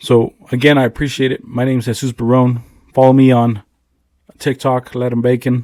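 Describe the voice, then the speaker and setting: A man with an American accent speaks at a moderate pace and a medium pitch. His tone is dark and mellow, his intonation monotone and flat. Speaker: podcast host, army veteran and former police officer. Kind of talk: casual monologue to camera. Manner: low energy.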